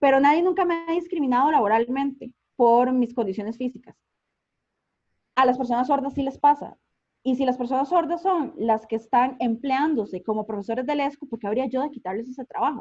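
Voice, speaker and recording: A woman with a Costa Rican accent speaks at a fairly quick pace. Her pitch is high with ordinary variation. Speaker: communicator and invited speaker. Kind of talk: online conference talk. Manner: fast; animated.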